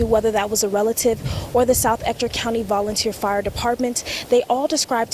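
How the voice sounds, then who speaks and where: A woman speaks with fairly high pitch and fairly even intonation. Noticeable background noise runs behind her. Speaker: local TV news reporter and anchor. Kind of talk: broadcast news reporting and anchoring. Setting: live report on location outdoors.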